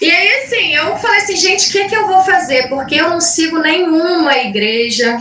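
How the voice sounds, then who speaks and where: A woman projects a raised, extremely high voice at a moderate pace, with hardly any pauses. Her pitch swings very widely. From Minas Gerais, Brazil (Caratinga). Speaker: invited speaker on spirituality. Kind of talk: talk in online group meeting. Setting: video call livestream. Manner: halting, many fillers.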